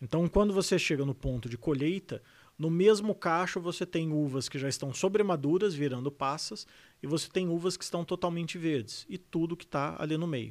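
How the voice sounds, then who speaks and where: On a very clean recording with a silent background, a man with a high pitch talks at a moderate pace with ordinary pitch variation. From Brazil, São José dos Campos (São Paulo state). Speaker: sommelier and wine educator. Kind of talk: casual interview chat.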